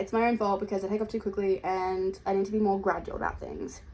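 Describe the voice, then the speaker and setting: Over music in the background, a woman talks at a fairly quick pace in an Australian accent. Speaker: vlogger. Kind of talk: casual vlog talk to camera. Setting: at home in her room. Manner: chatty, fast with many fillers.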